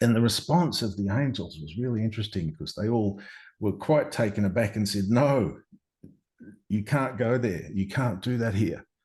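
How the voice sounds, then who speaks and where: A man with an Australian accent speaks at a moderate pace in a fairly low pitch. His voice is somewhat breathy, with ordinary pitch variation. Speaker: near-death experiencer. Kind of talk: interview answer.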